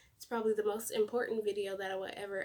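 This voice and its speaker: A woman speaks quietly at a fairly high pitch. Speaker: YouTuber. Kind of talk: testimony. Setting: home at night. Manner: quiet, hushed.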